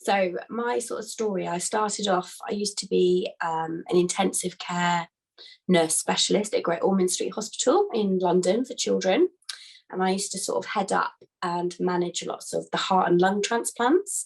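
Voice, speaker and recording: A woman talks with a British accent. Her pace is moderate. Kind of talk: casual talk to a business group.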